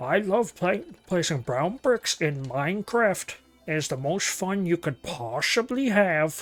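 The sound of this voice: Faint music plays in the background as a put-on character voice talks at a fairly slow pace. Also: man, high pitch for a man.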